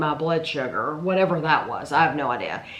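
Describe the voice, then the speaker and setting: A woman's fairly low voice with ordinary pitch variation, amid noticeable background noise. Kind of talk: casual Q&A talk to camera.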